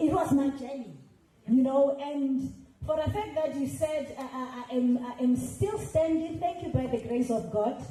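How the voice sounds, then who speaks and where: In a room with audible echo, a woman speaks loudly at a moderate pace, her high voice animated with ordinary pitch variation. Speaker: veteran musician. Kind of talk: panel discussion.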